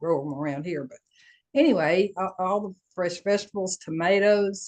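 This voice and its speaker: Speaking with a Southern US accent, a woman talks at medium pitch with ordinary pitch variation, and the sound is dry and close with no echo. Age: 70s. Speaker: coaching group participant. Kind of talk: casual chat.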